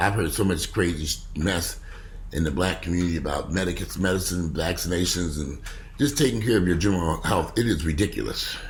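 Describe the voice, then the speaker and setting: Over audible room echo, a man with a very deep, low pitch and vocal fry talks fairly quickly with lively intonation. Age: 50s. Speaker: vlogger. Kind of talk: casual vlog monologue. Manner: animated.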